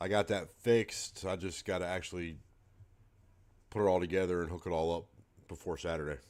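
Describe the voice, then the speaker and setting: Very deep, low male speech at a fairly quick pace, fairly even in intonation, broken by long, frequent pauses, on a very clean recording with a silent background. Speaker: darts livestreamer. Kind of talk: casual livestream chat. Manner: soft-spoken.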